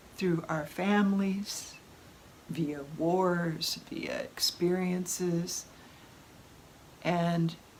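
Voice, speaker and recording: A woman's fairly low voice, very slow, with long, frequent pauses over noticeable background noise. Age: 70s. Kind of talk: casual talk to camera. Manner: animated.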